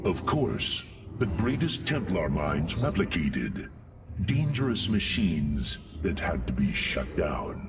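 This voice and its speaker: A man puts on a character voice, very deep and low, with very wide pitch swings. He goes at a fairly slow pace over clear background noise. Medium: video game. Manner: formal, noble.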